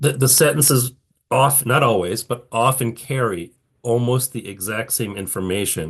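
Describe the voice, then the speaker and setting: A man with a somewhat breathy voice and lively intonation talks over a quiet background. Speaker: patent attorney lecturer. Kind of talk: lecture. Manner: halting, many restarts and fillers.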